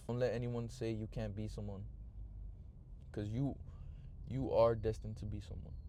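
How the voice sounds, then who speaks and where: Amid audible room echo, a man speaks at a fairly quick pace. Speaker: vlogger. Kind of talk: casual monologue. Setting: in a car. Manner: halting, many filler words and pauses.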